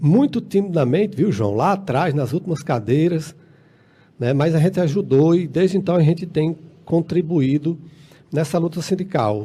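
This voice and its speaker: Lively intonation marks a man with a fairly high pitch and a dark, mellow tone. He keeps a moderate pace and very even loudness. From Brazil, Ceará (rural Tabuleiro do Norte area). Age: 50s. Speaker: union leader and council candidate. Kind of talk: radio interview. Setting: radio studio. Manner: halting, frequent filler words.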